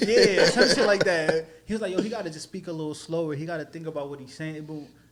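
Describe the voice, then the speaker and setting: Amid noticeable background noise, a man talks very fast in a high voice with big swings in loudness. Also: ordinary pitch variation. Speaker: podcast host. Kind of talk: casual chat. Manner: hard to understand.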